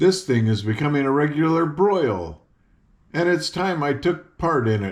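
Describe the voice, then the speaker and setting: Putting on a character voice, a man sounds shrill at a fairly high pitch while keeping a moderate pace. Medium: read story. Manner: prying.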